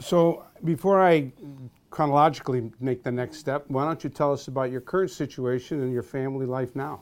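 A man with a normal speaking voice and a fairly high pitch talks at a fairly quick pace with ordinary pitch variation. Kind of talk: casual interview. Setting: office.

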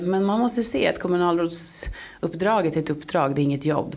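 A woman's fairly low voice with ordinary pitch variation at a moderate pace, over noticeable background noise. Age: 40s. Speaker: local politician. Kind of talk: interview.

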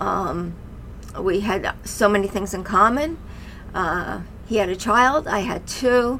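A woman with an American accent at medium pitch, very slow and with lively intonation, amid noticeable background noise and audible room echo. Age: 50s. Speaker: mother of podcast host, mental health guest. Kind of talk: personal testimony.

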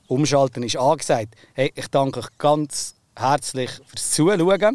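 With a normal speaking voice, a man speaks at a fairly high pitch and a fairly slow pace, in a dry, close sound with no echo. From Oberbaselbiet, Switzerland. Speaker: farmer and podcast host. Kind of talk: casual chat.

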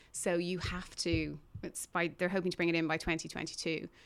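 The speaker has an Irish accent. The intonation stays fairly even. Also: woman. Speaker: podcast co-host. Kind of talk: casual chat. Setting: studio.

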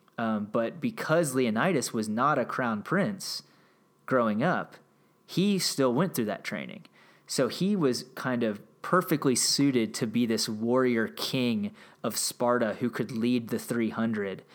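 A normal speaking voice from a man of medium pitch, fairly slow in pace, lively in intonation, on a very clean recording with a silent background. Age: 30s. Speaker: history podcast host. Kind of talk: solo commentary monologue. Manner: casual with frequent fillers.

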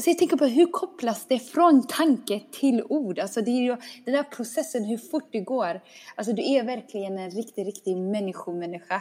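A woman speaks in an unremarkable speaking voice at a moderate pace. Her pitch is fairly high and her intonation lively. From small town in Sweden. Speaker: podcast host. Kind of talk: casual chat.

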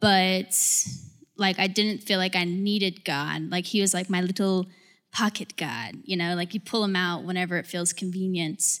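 With an American accent, a woman speaks at a moderate pace in a medium pitch. She has a normal speaking voice and fairly even intonation. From Georgia, US. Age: 20s. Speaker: corporate employee. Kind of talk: testimony.

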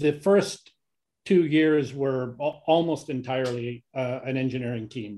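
Speaking slowly with a Canadian accent, a man uses a medium-pitched voice with a dark, mellow tone. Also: ordinary pitch variation. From Canada. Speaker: engineer and company technology executive. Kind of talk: interview.

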